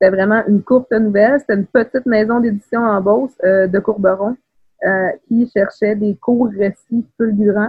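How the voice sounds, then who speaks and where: A woman's somewhat breathy, fairly high-pitched voice at a moderate pace with fairly even intonation. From Quebec City, Quebec (Beauport). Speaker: writer. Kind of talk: casual interview.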